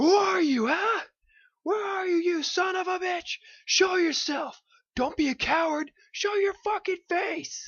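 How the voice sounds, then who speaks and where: A put-on character voice, squeaky and extremely high, shouting at a fairly slow pace. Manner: furious, shouting.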